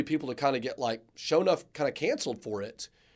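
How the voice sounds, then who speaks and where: In a very clean recording with a silent background, a man with an ordinary speaking voice talks fairly quickly at a fairly high pitch. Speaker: podcast co-host. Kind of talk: casual chat.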